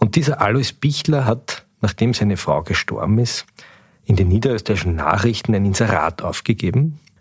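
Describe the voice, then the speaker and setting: A man speaks in a fairly low, somewhat breathy voice with lively intonation and very even loudness. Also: moderate pace. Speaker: newspaper editor-in-chief, podcast host. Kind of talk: interview.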